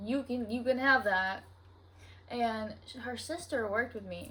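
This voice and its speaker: A woman with a Southern US accent speaks in a somewhat breathy, fairly high voice with ordinary pitch variation and audible room echo. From US South. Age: 20s. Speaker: podcaster. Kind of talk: casual chat. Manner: casual, filler-heavy.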